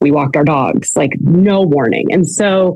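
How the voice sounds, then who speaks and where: Speaking in a normal speaking voice with a Canadian accent, a woman goes at a fairly slow pace with lively intonation. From Canada. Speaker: recovery program founder, former orthodontist. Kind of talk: interview, personal testimony.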